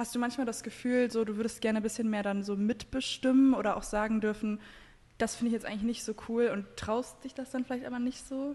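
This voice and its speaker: Speaking at a very fast pace, a woman holds a fairly high pitch in a monotone, flat intonation. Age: 20s. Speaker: podcast host. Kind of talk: casual chat.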